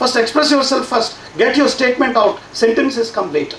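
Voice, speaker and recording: With a Telugu accent, a man speaks at an extremely high pitch. Noticeable background noise and audible room echo fill the recording. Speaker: science education professor. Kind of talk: conference talk. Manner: halting, many fillers and repeats.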